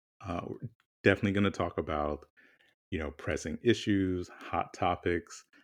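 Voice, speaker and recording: Against a quiet background, a man with a very deep, low pitch speaks at a moderate pace in fairly even intonation, leaving long, frequent pauses. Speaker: podcast co-host. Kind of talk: casual chat.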